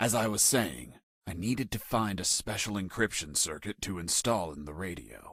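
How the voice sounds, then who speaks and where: A man adopts a put-on character voice, talking at a moderate pace. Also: fairly low pitch for a man. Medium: video game. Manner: dry, sarcastic.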